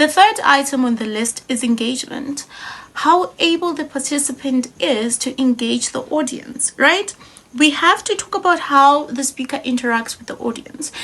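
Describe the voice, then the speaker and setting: Over noticeable background noise, a woman speaks at a moderate pace with a high pitch and lively intonation. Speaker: public speaking trainer. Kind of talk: tutorial.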